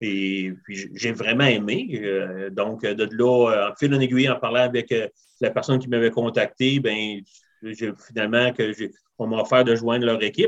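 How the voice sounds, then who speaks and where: In a Quebec accent, a man speaks at a fairly slow pace with a medium pitch. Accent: Québécois French. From Quebec (Rivière-du-Loup). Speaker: barbecue enthusiast. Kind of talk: casual interview. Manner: halting.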